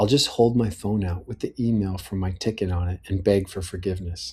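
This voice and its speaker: In a very clean recording with a silent background, a man with an American accent talks at a fairly low pitch, his tone dark and mellow, somewhat breathy, with fairly even intonation. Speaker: personal audio letter writer. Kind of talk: reading aloud a personal letter.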